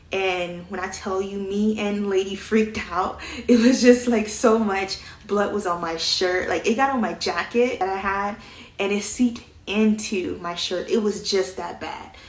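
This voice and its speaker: Speaking at a fairly slow pace, a woman with a medium pitch keeps her intonation fairly even, with noticeable background noise and audible room echo. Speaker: vlogger. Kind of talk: casual storytelling.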